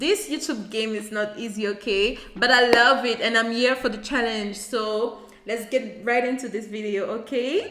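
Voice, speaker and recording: Noticeable background noise runs under a woman speaking with a French accent. Her tone is animated, with hardly any pauses. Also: fairly high pitch for a woman, moderate pace. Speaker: YouTuber. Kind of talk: casual vlog talk to camera. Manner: halting, searching for words.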